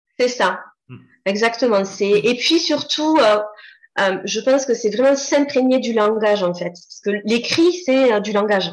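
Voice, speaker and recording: Here is a woman with an unremarkable speaking voice. She talks at a fairly slow pace with a fairly high pitch. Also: lively intonation, big swings in loudness. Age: 40s. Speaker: copywriter. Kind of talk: casual interview.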